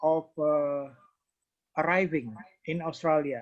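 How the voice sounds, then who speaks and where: This speaker talks at a very slow pace with an Indonesian accent. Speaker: training participant asking questions. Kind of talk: Q&A session. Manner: halting.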